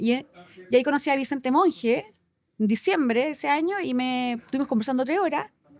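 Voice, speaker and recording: Very fast speech from a woman with a high pitch and lively intonation. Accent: Chilean. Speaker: company director. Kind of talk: casual interview chat. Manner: animated.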